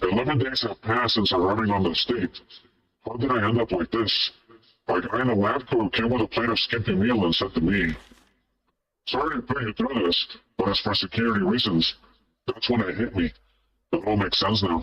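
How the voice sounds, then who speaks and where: Using a put-on character voice, a man talks at a medium pitch and a fairly quick pace, with long, frequent pauses. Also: very even loudness. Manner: funny exaggerated voice.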